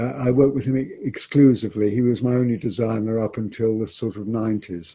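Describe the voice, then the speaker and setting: The pace is fairly quick. The tone is dark and mellow, and somewhat breathy. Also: man. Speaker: theatre director. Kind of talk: interview conversation. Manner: halting.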